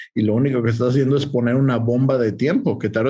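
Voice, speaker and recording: In audible room echo, a man of medium pitch speaks at a fairly quick pace with fairly even intonation. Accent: Mexican. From Mexico. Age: 40s. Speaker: agribusiness consultant. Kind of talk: interview.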